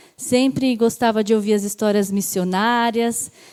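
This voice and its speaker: A woman speaks at a fairly high pitch with a dark, mellow tone. Her intonation stays fairly even. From Brazil, São Bernardo do Campo (São Paulo). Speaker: missionary. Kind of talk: testimony.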